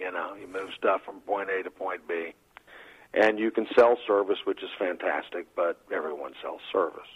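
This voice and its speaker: A Texan accent at a moderate pace, with big swings in loudness. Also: man. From Texas. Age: 50s. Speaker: trucking company president. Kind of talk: casual interview.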